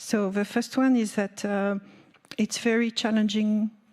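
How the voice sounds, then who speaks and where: A somewhat breathy woman with a French accent, a dark, mellow tone, and monotone, flat intonation. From France. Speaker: nuclear industry representative. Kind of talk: panel discussion. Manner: halting, many fillers.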